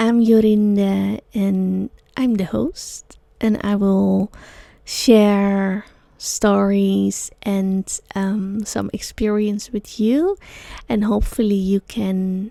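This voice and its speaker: A woman with a Dutch accent speaks very slowly, with long and frequent pauses. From Netherlands, Amsterdam. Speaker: sound healer and yoga teacher, podcast host. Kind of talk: solo podcast talk. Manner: halting, many fillers.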